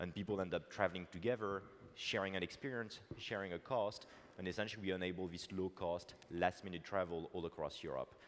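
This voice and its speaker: A man with a very deep, low voice talks at a fairly quick pace with fairly even intonation. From France. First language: French. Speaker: tech entrepreneur. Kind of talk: conference keynote talk. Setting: stage with audience. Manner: hesitant with fillers.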